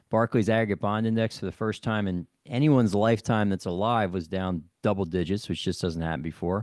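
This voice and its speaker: Against a quiet background, a man in an ordinary speaking voice talks at a fairly quick pace with hardly any pauses, fairly low pitch and ordinary pitch variation. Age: 50s. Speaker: podcast host. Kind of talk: interview.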